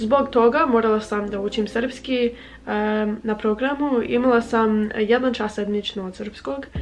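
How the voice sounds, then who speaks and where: Music plays in the background as a woman speaks at a fairly high pitch. Her pace is fairly slow and her intonation fairly even. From United States. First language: English (speaking Croatian). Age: 20s. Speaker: language-learning vlogger. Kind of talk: casual vlog talk. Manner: halting with filler sounds.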